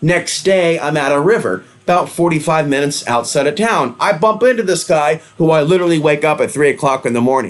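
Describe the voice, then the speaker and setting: Delivering at a fairly quick pace with hardly any pauses, a fairly high-pitched man keeps very even loudness and lively intonation. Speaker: conspiracy and spirituality video host. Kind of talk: monologue to camera. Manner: fast.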